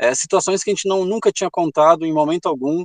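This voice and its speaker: A high-pitched male voice with a strong gaúcho accent and ordinary pitch variation, dry and close with no echo against a quiet background. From Rio Grande do Sul, Brazil. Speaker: travel author. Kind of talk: interview.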